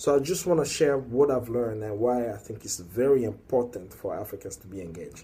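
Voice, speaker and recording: With a dark, mellow tone and a somewhat breathy edge, a man at a medium pitch talks at a moderate pace with lively intonation. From Congo. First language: French or Lingala/Swahili. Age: young. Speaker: activist. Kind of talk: video monologue. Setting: working late, recorded alone. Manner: halting.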